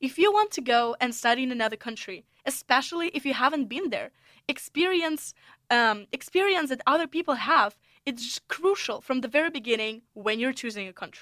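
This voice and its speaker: A woman's high-pitched voice in a Russian accent, bright and sharp in tone, with lively intonation at a fairly quick pace. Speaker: podcast host, international student. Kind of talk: solo podcast monologue.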